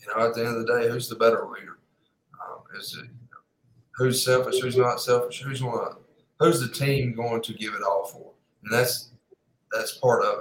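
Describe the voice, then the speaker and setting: Male speech at a moderate pace, with long, frequent pauses and big swings in loudness. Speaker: football coach. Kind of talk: casual podcast interview.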